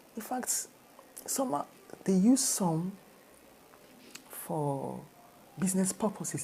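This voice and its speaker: A woman speaks with a Nigerian accent at a medium pitch. Her voice moves in very wide pitch swings. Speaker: motivational speaker. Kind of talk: talk to camera. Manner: repetitive, conversational.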